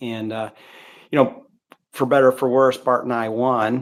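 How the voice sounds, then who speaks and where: Speaking at a fairly slow pace, a man with a medium-pitched voice keeps a monotone, flat intonation. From Missouri, US Midwest. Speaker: former bike racer. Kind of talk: interview. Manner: halting.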